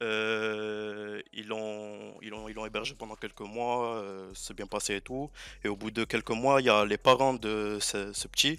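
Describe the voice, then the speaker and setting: In a very clean recording with a silent background, a man with a fairly low pitch and a bright, sharp tone speaks at a very slow pace, his intonation monotone and flat while his loudness swings widely. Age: 20s. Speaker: caller telling a story on a stream. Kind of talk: casual storytelling. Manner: halting, many hesitations.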